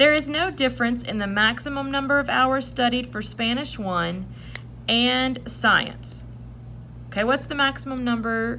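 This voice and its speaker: Her speech fairly slow, a woman talks in a room with audible echo. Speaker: math teacher. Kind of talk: tutorial. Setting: recorded video lesson.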